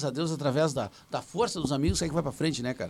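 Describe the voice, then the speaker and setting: A man talks in a fairly high pitch. The recording is very clean, with a silent background. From Rio Grande do Sul, Brazil. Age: 40s. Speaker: musician and songwriter. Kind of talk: casual chat.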